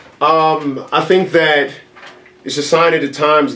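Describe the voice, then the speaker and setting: Noticeable background noise sits behind this man's voice. He talks with monotone, flat intonation. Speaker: event organizer. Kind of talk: interview. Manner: fast.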